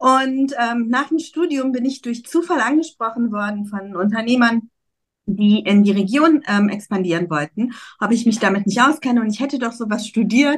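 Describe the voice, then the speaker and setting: Here is a woman with an unremarkable speaking voice and a fairly high pitch. She moves at a moderate pace with lively intonation. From Germany, Cologne. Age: 40s. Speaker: emigration consultant. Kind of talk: casual interview chat.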